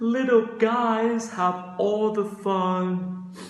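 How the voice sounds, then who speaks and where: A man uses a put-on character voice pitched high, with fairly even intonation. A clear echo surrounds the sound. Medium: read story. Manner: gentle, polite.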